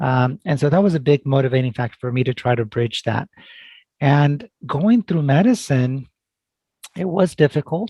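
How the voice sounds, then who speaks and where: A man speaks with lively intonation and long, frequent pauses, fairly high in pitch. His tone is dark, mellow and somewhat breathy, with a dry, close sound and no echo. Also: moderate pace. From California Central Valley (moved from Mexico at 5-6). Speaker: family medicine doctor. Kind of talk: interview.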